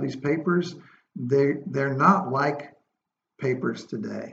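A man's fairly high voice with vocal fry at a very slow pace. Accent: American. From US South, coastal North Carolina. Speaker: preservation designer and company owner. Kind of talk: interview.

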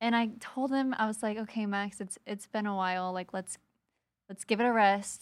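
A woman with a plain, everyday voice talks at a moderate pace, her fairly high pitch held in fairly even intonation. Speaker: real estate investor. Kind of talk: casual interview chat.

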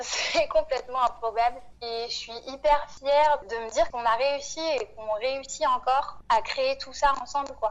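A woman with a high pitch speaks at a fairly slow pace with hardly any pauses, ordinary pitch variation and big swings in loudness. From Réunion and mainland France. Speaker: farming collective member. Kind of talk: interview.

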